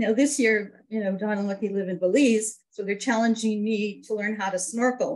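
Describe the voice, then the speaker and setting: A woman's somewhat breathy, fairly high-pitched voice. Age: 60s. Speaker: network marketing business member. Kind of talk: interview.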